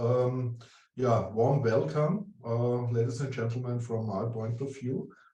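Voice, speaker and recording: In an Austrian accent, a somewhat breathy voice with a dark, mellow tone moves at a very slow pace with ordinary pitch variation and audible room echo. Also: man. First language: German. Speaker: urban development consultant. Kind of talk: presentation. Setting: online conference.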